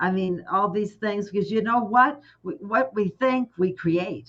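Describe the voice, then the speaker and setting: A plain, everyday voice with an American accent, at a fairly slow pace and with ordinary pitch variation. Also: woman. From Texas. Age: 60s. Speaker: life coach. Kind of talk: casual chat.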